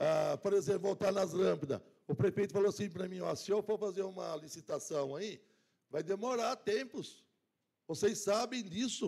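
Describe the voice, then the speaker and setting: A man speaks at a moderate pace in a high-pitched voice. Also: ordinary pitch variation. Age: 60s. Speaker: city councillor. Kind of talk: council speech. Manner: halting.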